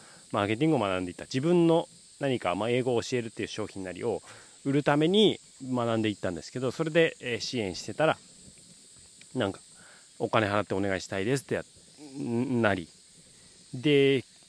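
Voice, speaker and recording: Lively intonation and big swings in loudness mark a man's medium-pitched voice. He talks at a fairly quick pace but leaves long, frequent pauses. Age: 30s. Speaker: marketing consultant, podcaster, former teacher. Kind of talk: solo monologue podcast. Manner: casual, many fillers.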